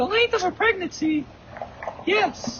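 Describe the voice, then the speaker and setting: A squeaky, put-on character voice at an extremely high pitch. It moves at a fairly slow pace over clear background noise. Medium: stage play. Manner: quiet, measured.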